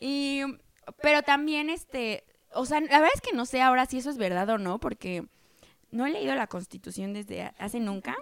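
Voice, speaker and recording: High-pitched female speech with lively intonation. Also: moderate pace. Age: 20s. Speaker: podcast co-host, office worker in finance. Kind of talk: casual chat.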